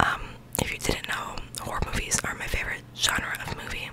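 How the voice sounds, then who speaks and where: A soft-spoken woman whispers at a moderate pace. Loud background noise is present. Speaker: vlogger. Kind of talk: casual vlog chat. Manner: soft close-mic whisper. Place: home room. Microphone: studio mic.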